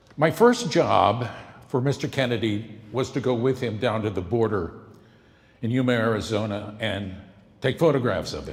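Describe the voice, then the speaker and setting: With an American accent, a man speaks at a medium pitch in a somewhat breathy voice with ordinary pitch variation. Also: moderate pace. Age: 70s. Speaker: former TV news correspondent and campaign volunteer. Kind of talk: speech introducing a film.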